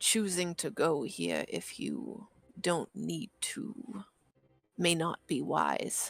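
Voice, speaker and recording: The speaker uses a put-on character voice at a middle pitch. Delivery comes at a very slow pace. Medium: actual play. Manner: wary, measured.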